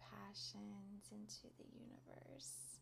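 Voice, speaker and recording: A woman speaks at a very slow pace. Noticeable background noise accompanies her. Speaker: podcast host and meditation teacher. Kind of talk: guided meditation. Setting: live class recording. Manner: upbeat tempo.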